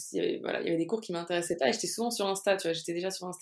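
On a very clean recording with a silent background, a woman speaks at medium pitch with ordinary pitch variation. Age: 20s. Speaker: social media consultant. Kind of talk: casual interview. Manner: spontaneous, animated.

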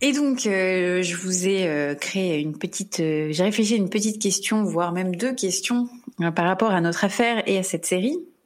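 A woman with an ordinary speaking voice talks at a medium pitch, her pace moderate and her pitch moving in an ordinary way. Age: 30s. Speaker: true crime podcast host. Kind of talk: casual chat; scripted narration.

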